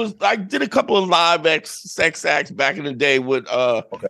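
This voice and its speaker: In a New York accent, a man uses a raised, projected voice with a bright, sharp tone and very wide pitch swings. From New York, Brooklyn. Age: 50s. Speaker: podcast host. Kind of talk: casual chat.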